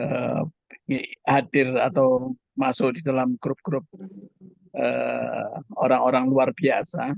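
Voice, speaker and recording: The sound is dry and close, with no echo. A man talks at a very slow pace, leaving long, frequent pauses. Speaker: webinar participant. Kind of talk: casual chat. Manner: halting.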